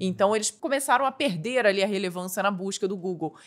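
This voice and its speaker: A woman speaks with a Rio de Janeiro accent and ordinary pitch variation. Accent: Petrópolis (carioca-like) Portuguese. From Brazil, Petrópolis (Rio de Janeiro state). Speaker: tech YouTuber and entrepreneur. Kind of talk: casual podcast interview.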